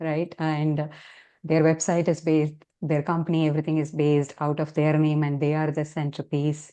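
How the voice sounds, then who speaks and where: A woman's very deep, low voice with a dark, mellow tone and a Tamil accent, at a moderate pace against a quiet background. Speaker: health coach. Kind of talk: interview.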